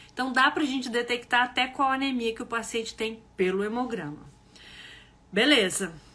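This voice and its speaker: A woman's high, animated voice at a moderate pace, with ordinary pitch variation and noticeable background noise. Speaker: health educator. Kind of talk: live online class. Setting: livestream.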